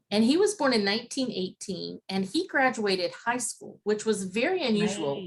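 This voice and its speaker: In an Appalachian Ohio accent, a somewhat breathy voice moves at a moderate pace with lively intonation and hardly any pauses. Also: woman, fairly high pitch for a woman. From Appalachian Ohio (Zanesville). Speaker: interviewee. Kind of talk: interview.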